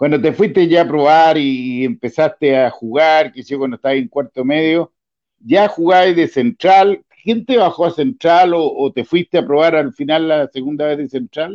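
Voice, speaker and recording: In a dry, close recording with no echo, a man with a Chilean accent speaks at a moderate pace with hardly any pauses, his fairly high voice full of lively intonation. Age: 60s. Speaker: football show host. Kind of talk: casual interview.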